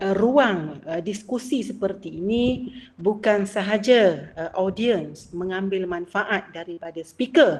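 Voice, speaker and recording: A woman talks at medium pitch and a very slow pace, with hardly any pauses. Her loudness swings widely over noticeable background noise. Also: lively intonation. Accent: Malaysian. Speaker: academic book discussion speaker. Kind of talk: lecture. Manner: hesitant, many filler sounds.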